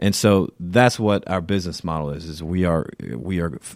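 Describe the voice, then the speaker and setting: A man's very deep, low voice with an American accent and lively intonation, on a very clean recording with a silent background. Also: dry, close sound with no echo. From US South, Savannah area of Georgia. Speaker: sales executive of an education company. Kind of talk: podcast interview. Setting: studio.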